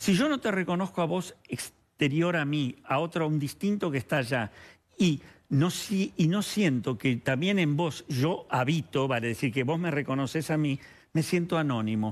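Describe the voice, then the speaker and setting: Speaking in a Rioplatense accent, a man uses lively intonation while keeping his loudness very even. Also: moderate pace. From Argentina. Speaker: psychoanalyst. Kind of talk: TV interview. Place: studio. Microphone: headset.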